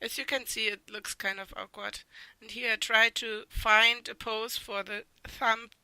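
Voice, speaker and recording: A woman with a non-native accent, a bright, sharp tone, flat, monotone intonation and a fairly slow pace. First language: not English. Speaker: artist. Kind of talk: art critique voice-over. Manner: hesitant.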